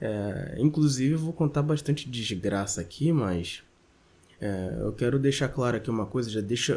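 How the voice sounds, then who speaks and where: With lively intonation, a man speaks in a somewhat breathy, medium-pitched voice. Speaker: podcaster. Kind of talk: casual monologue.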